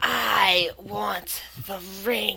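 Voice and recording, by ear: A woman performs a put-on character voice against clear background noise.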